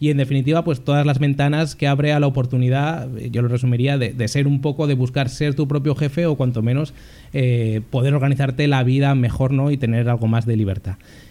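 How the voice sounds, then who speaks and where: At a fairly quick pace, a man talks. His voice has a dark, mellow tone. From Spain, Zaragoza (Aragon). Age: 20s. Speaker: journalist, podcast co-host. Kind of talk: casual chat.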